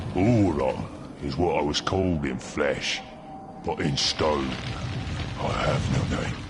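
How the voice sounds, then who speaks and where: In a cartoonish character voice, a man speaks in a very deep, low pitch at a fairly slow pace. Loud background noise fills the recording. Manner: slow, grave, archaic.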